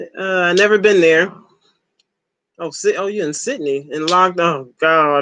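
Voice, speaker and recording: A fairly slow Southern US accent with long, frequent pauses. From Ohio, US. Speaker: livestreamer. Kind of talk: casual chat. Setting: live stream.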